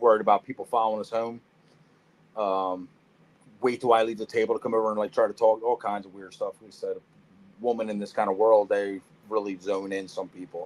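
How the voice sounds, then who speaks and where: A man with a Philadelphia accent speaks at a fairly quick pace in a fairly low voice, with long, frequent pauses. His intonation stays monotone and flat while his loudness swings widely. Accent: Philadelphia-area. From US Northeast, Norristown, Pennsylvania. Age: 40s. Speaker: reptile breeder. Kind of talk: casual chat. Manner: choppy, searching for words.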